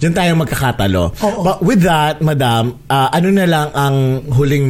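Against noticeable background noise, a man speaks in an animated tone at a moderate pace, his intonation lively. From Philippines. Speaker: podcast host. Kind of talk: casual chat.

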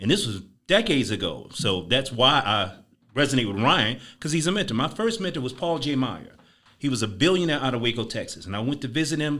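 In an American accent, a man speaks at a fairly quick pace with a bright, sharp tone and very wide pitch swings. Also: medium pitch for a man, very clean recording, silent background. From Chicago. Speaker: entrepreneur and sales mentor. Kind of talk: casual interview. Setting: studio.

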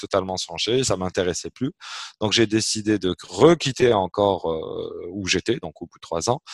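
A man speaks at a moderate pace with a fairly low pitch and a normal speaking voice. The sound is dry and close, with no echo. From Algeria, Algiers. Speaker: entrepreneur. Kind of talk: interview.

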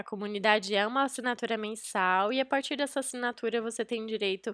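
In a very clean recording with a silent background and a dry, close sound free of echo, a woman with a Brazilian accent speaks at a moderate pace in a fairly high pitch. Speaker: podcast host. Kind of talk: podcast intro and outro, promotional.

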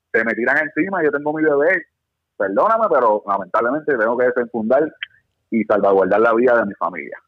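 This man talks at a very fast pace. His pitch is medium and his intonation lively. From Puerto Rico. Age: 30s. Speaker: firearms instructor. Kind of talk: casual chat.

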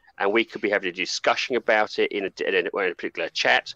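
A man is speaking. The background is quiet. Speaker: co-host and game reviewer. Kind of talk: casual group chat.

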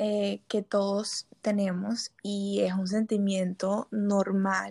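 This woman's voice is medium in pitch and somewhat breathy, with a dark, mellow tone and monotone, flat intonation, heard dry and close with no echo on a very clean recording with a silent background. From Colombia, Barranquilla. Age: 20s. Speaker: psychology student. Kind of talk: casual chat.

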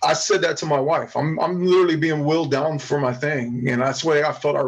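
A man talks fairly quickly in a fairly high voice, his pitch varying in an ordinary way, while noticeable background noise carries on behind him. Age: 40s. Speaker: wrestling promoter. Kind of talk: casual chat.

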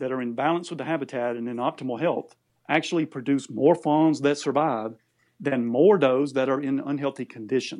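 Over a quiet background, an ordinary speaking voice with an American accent moves at a moderate pace. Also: man. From Georgia, US South. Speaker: wildlife conservation organization spokesperson. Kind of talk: interview.

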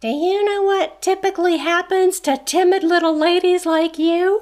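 Put-on character voice, extremely high pitched, squeaky and gruff at once, at a moderate pace. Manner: condescending, belittling.

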